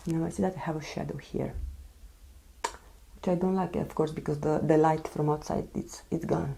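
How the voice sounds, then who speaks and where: Soft-spoken, a woman with a very deep, low pitch keeps her intonation fairly even and leaves long, frequent pauses. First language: non-English. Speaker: beauty vlogger. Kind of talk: casual chat. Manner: slow. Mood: serious, recounting illness. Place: home room.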